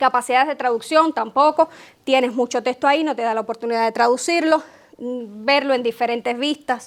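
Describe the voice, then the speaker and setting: With a high pitch and a fairly quick pace, a woman speaks in fairly even intonation on a very clean recording with a silent background. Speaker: tech consultant, conference speaker. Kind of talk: conference talk. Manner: fast.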